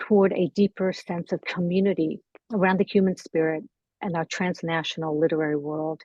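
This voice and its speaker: A dark, mellow tone with ordinary pitch variation at a moderate pace, dry and close with no echo. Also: woman. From Iran. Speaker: panel moderator. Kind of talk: formal introduction.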